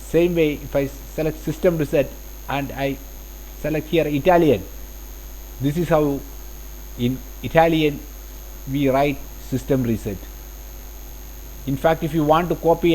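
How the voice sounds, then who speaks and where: Taking long, frequent pauses, a man with a Keralan accent talks at a moderate pace. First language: Malayalam. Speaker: CAD software instructor. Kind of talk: tutorial. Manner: halting.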